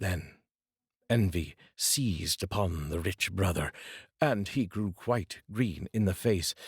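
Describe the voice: A man talks slowly at a low pitch, with a husky, rough edge and ordinary pitch variation. The recording is very clean, with a silent background.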